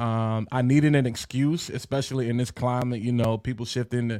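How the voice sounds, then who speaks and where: There's a man with a normal speaking voice and an American accent, medium pitch and fairly even intonation, recorded very cleanly over a silent background. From US South, eastern North Carolina. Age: 30s. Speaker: content creator and brand strategist. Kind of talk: podcast interview.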